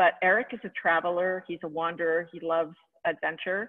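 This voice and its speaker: A woman speaks in an unremarkable speaking voice at a fairly low pitch against a quiet background. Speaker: guest. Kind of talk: interview answer. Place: home room. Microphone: video call.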